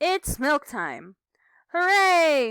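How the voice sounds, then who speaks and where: Using a put-on character voice, a woman speaks high-pitched in a very clean recording with a silent background. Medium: read story.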